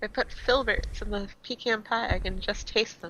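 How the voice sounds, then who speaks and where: In a put-on character voice, the speaker cackles at a fairly high pitch and a moderate pace. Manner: cackling, suspicious.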